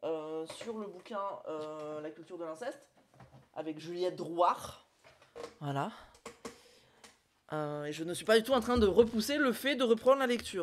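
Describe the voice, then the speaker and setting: The speaker goes at a fairly slow pace with long, frequent pauses. Pitch swings very widely and loudness rises and falls sharply. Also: woman, medium pitch for a woman. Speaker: streamer. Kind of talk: casual chat. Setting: live stream. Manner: hesitant, many fillers.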